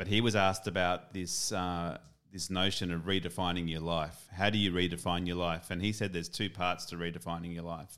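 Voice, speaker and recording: Very deep and low in pitch, a man talks in an Australian accent with monotone, flat intonation at a moderate pace. The recording is very clean, with a silent background. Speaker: podcast co-host. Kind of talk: casual chat. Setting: homemade studio.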